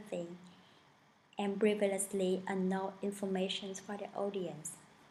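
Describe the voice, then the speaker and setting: At a fairly slow pace, a woman of medium pitch speaks somewhat breathily with a strong non-native accent. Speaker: student. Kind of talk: class presentation. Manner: formal.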